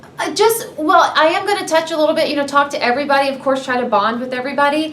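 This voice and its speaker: With an American accent, a woman talks very fast with ordinary pitch variation, amid audible room echo and noticeable background noise. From US South, Georgia (Marietta). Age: 30s. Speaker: reality TV contestant. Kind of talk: interview. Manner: loud, excitable.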